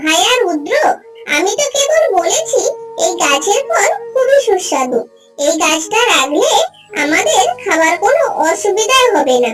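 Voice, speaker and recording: A squeaky, cartoonish character voice over faint music in the background. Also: fairly slow pace. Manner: crafty, smooth.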